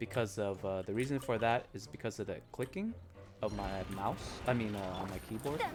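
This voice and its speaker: With music behind him, this man talks fairly quickly. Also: ordinary pitch variation. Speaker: game streamer. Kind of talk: casual live stream chat. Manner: halting, many fillers. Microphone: quiet mic, picks up keyboard clicks.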